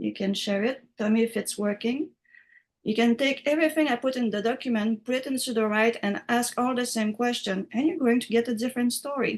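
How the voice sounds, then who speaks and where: Delivered at a fairly quick pace, the speech has a French accent and ordinary pitch variation. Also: woman, high pitch for a woman. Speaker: writing software instructor. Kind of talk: online class tutorial.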